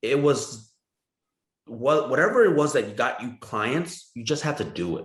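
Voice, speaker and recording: A man with a Vietnamese accent, somewhat breathy and fairly high-pitched, at a fairly slow pace, with lively intonation, big swings in loudness and audible room echo. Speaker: real estate broker. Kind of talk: podcast interview. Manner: talkative.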